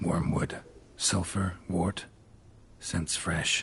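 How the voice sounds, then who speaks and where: A man's put-on character voice at a very deep, low pitch. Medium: machinima. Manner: terse, low, deadpan.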